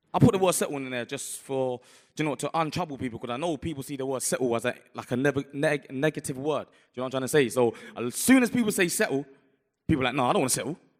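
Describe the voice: A man talks at a fast pace. His intonation is lively. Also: medium pitch for a man.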